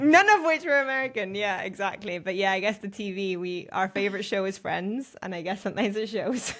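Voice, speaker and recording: At a fairly quick pace with hardly any pauses, a woman speaks at medium pitch with lively intonation. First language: Spanish. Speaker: podcast co-host. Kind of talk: casual chat.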